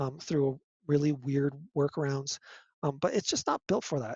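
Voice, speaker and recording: The man's fairly high voice comes across as somewhat breathy. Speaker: music technology lecturer. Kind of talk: lecture. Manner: halting, many fillers.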